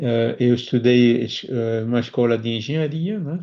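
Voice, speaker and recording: This man's voice has a dark, mellow tone and sits at a medium pitch, with ordinary pitch variation at a moderate pace. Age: 60s. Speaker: spiritist speaker. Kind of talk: interview. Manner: halting.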